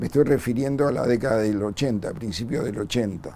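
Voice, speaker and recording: With a dark, mellow tone, a man talks using ordinary pitch variation. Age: 60s. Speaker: bombing survivor and former community worker. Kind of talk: testimony.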